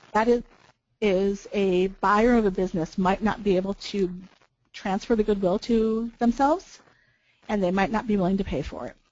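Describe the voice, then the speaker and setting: A woman's voice at medium pitch, with ordinary pitch variation. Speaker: business valuation consultant. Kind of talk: webinar presentation. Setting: webinar. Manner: fast.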